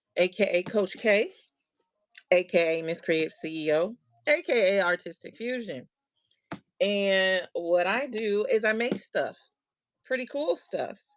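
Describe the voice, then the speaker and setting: A woman at medium pitch with lively intonation, a fairly slow pace and long, frequent pauses, with music in the background. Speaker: craft livestream host. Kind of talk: casual livestream chat. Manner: loud.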